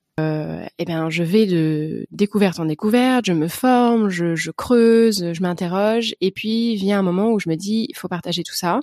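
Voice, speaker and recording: A dry, close sound with no echo, a fairly slow pace, hardly any pauses and ordinary pitch variation. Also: woman, medium pitch for a woman. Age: 30s. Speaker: podcast host and riding instructor. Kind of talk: solo podcast introduction. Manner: hesitant, many fillers.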